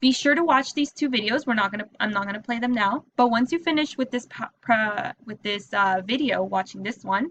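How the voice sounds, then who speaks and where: A woman talks at a fairly quick pace. She has an ordinary speaking voice with ordinary pitch variation. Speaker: teacher. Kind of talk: tutorial.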